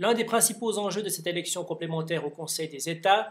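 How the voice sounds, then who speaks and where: A man with a high voice speaks using fairly even intonation. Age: 30s. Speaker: politician. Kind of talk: campaign speech.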